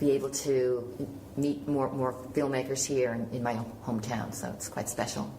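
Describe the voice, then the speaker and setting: A woman with an American accent speaks at a very deep, low pitch with fairly even intonation and a moderate pace. Audible room echo and noticeable background noise are present. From Killarney, Ireland, then New York from age seven. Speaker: film and television producer. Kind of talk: panel interview. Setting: film festival panel.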